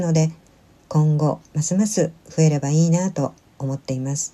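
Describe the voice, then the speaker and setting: A woman speaks at a moderate pace in a gentle, dark, mellow tone that is somewhat breathy. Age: 60s. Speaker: solo senior vlogger. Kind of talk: vlog voice-over narration. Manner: polite, gentle.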